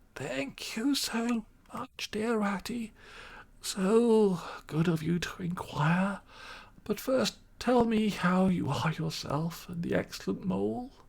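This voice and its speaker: A put-on character voice at a middle pitch unfolds at a fairly slow pace. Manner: polite, courteous.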